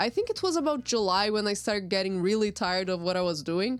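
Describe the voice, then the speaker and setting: A woman with a Portuguese accent speaks at a fairly quick pace in a medium pitch, her voice swinging very widely up and down. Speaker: artist. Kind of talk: narrated drawing timelapse.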